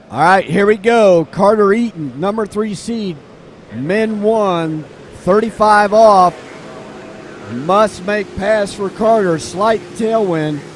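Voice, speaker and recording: Over noticeable background noise, a man talks very slowly in a voice that sits high for a man. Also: ordinary pitch variation. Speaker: sports commentator. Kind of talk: live commentary. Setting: live webcast at lakeside event.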